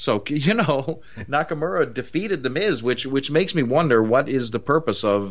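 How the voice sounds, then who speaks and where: A man speaks at a moderate pace with a Newfoundland accent. His intonation is lively. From Newfoundland, Canada. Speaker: wrestling podcast co-host. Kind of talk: casual review chat. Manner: conversational, halting with fillers.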